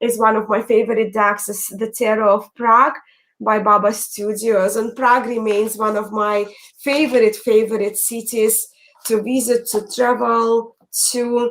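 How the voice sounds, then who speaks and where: With an Eastern European accent, a woman speaks in a fairly high pitch. Her pace is fairly slow and her intonation monotone and flat. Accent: foreign accent, Eastern European. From Belarus. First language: Russian. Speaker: tarot YouTuber. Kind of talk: casual live chat.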